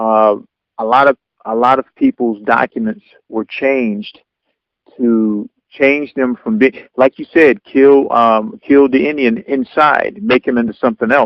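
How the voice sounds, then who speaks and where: A man talks in a normal speaking voice at a medium pitch. His pace is fairly slow, with ordinary pitch variation. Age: 40s. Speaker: radio show host. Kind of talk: radio interview, host questions. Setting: phone line.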